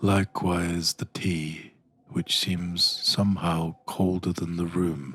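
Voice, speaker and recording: A man's very deep, low voice at a fairly slow pace, monotone and flat, with a dry, close sound and no echo. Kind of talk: parody guided meditation. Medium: solo performance. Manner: slow, soothing, deadpan.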